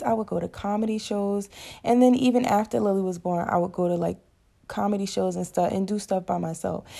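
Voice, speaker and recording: Her pitch is medium and her tone dark and mellow, with ordinary pitch variation. The woman keeps a fairly quick pace. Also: very clean recording, silent background. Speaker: solo podcaster. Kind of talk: personal monologue. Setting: at home.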